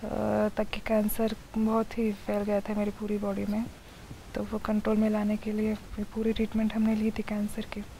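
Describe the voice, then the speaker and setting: Fairly slow speech over light background noise. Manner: lying-down, weak patient voice.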